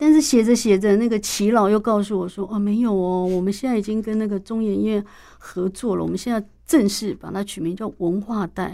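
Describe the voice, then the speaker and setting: A woman with a dark, mellow tone and medium pitch talks at a fairly quick pace with ordinary pitch variation. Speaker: university professor and author. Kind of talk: interview. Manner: hesitant, many fillers.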